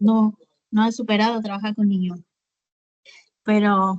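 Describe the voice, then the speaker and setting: The woman here speaks at a fairly slow pace. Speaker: nurse student. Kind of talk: casual class discussion.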